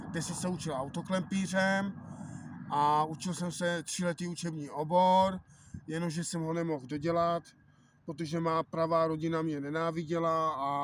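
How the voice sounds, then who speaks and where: Here is a man with a high pitch speaking at a moderate pace. His intonation is flat and monotone. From Czech Republic, South Moravia (near Slavkov). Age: 30s. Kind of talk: personal testimony. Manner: halting, many fillers.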